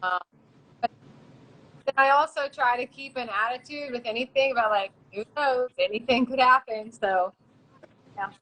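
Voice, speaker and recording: Speaking at a moderate pace in an American accent, a woman has a high-pitched, bright, sharp tone, long and frequent pauses, big swings in loudness, and a dry, close sound with no echo. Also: ordinary pitch variation. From western Maryland, US. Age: 30s. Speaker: Muay Thai fighter. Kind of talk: interview. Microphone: too quiet.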